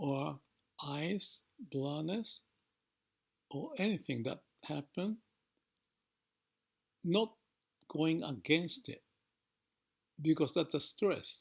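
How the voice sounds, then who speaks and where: Very slowly and with long, frequent pauses, a man speaks in a calm tone at a fairly high pitch with lively intonation. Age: 70s. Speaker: organizational transformation consultant. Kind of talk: reflective monologue to camera. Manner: calm, slow, contemplative.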